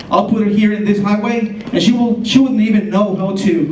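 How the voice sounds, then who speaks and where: A man with a Spanish accent speaks at a high pitch with fairly even intonation, amid noticeable background noise and audible room echo. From Colombia. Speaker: ESL teacher. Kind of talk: presentation.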